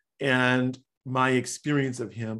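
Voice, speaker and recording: His voice sits at a medium pitch. The man has an American accent. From US Midwest, Chicago. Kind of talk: casual interview. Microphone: sitting too far back from the microphone.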